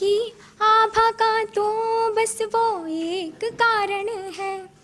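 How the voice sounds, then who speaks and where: Noticeable background noise is heard while a woman speaks. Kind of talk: poetry reading.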